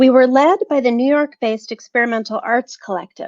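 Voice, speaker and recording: In a dry, close sound with no echo, a woman has an unremarkable speaking voice, fairly high in pitch with ordinary pitch variation. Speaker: professor. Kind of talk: prepared academic talk read aloud.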